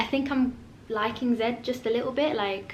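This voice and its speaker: A woman speaks at a high pitch and a moderate pace with ordinary pitch variation, amid noticeable background noise and audible room echo. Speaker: book vlogger. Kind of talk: casual vlog. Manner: animated.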